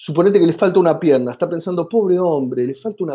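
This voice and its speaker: A man is speaking with an Argentine accent. His pitch is high. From Argentina. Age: 50s. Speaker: comedian and comedy writer. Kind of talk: interview. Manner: animated.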